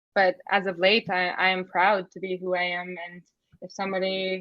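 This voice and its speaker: This woman speaks with a Canadian accent. Her pitch sits in the medium range. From Canada, First Nations community. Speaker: former foster youth and advocate. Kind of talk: interview testimony.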